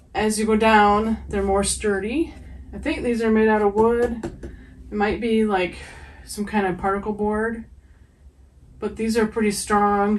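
A woman's fairly slow, monotone delivery with flat intonation and long, frequent pauses. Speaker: pet owner reviewing products. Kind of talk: casual product review. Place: home room. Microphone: camera far.

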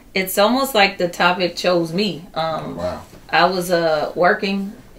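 This woman has a normal speaking voice with a fairly low pitch. Her intonation is fairly even. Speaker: interview guest, poet. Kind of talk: interview answer. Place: office.

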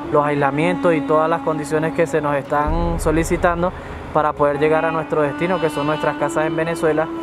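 Clear music plays in the background while a man talks at a fairly quick pace. The sound is dry, with no echo. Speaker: interviewee. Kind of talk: interview answer. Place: street.

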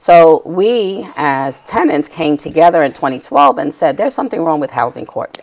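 With a New York accent, a woman speaks in a very deep, low pitch and lively intonation over a quiet background. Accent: New York City. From New York City, Lower Manhattan. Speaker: tenant rights activist; guest. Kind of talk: TV interview. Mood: earnest, indignant storytelling. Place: studio. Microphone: lapel.

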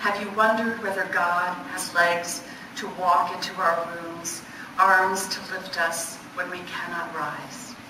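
Speaking at a very slow pace in a monotone, flat intonation, a woman is heard over noticeable background noise with audible room echo. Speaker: poet. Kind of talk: poetry reading of her own dense, image-laden lyric sequences. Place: hall. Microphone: camera far.

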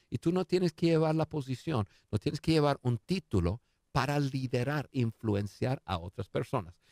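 Against a quiet background, a man speaks at a moderate pace with lively intonation in a dry sound with no echo. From United States. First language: English (speaking Spanish). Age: 50s. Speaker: leadership expert; interview guest, leadership coach. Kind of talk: interview. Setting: studio. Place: studio. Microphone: studio mic.

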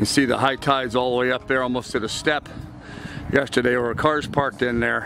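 Over music in the background, a man speaks at a fairly quick pace in a monotone, flat intonation. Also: dry sound with no echo. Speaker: sailing vlogger. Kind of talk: casual vlog chat. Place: boat. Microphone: phone near.

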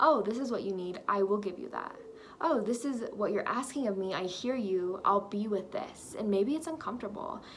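A woman with an American accent, moderate in pace, with lively intonation and light background noise. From Texas. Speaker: lifestyle vlogger; vlogger. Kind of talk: personal vlog monologue. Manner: casual, filler-heavy. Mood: warm, reflective, encouraging. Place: home room. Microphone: phone near.

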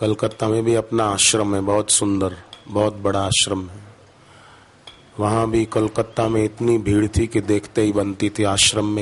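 Here a man speaks at a fairly low pitch and a fairly slow pace. His intonation is monotone and flat. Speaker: religious preacher. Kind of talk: sermon. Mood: calm, devotional narration. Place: stage. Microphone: podium.

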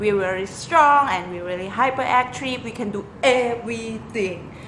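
Audible room echo and noticeable background noise. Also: woman. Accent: Thai. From Thailand. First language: Thai. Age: 20s. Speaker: lecturer and sailor. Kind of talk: audition video. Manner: animated.

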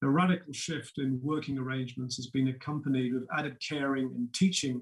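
Somewhat breathy, a man talks at a fairly quick pace. His intonation is fairly even against a quiet background. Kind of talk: prepared keynote speech. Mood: calm, measured, serious. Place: home room. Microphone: webcam.

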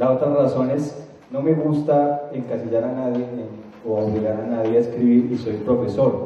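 Strong room echo surrounds a man who talks at a fairly quick pace with little pitch movement. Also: medium pitch for a man.

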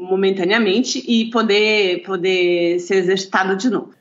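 A woman at a fairly slow pace. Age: 50s. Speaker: lawyer and natural bodybuilder. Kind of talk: interview. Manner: halting, with repetitions.

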